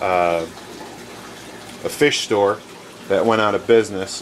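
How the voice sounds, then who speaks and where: Over noticeable background noise, a man speaks at a fairly slow pace with a fairly low pitch and ordinary pitch variation. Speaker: fish hobbyist. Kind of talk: home tour walkthrough. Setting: basement fish room. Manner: casual with many fillers.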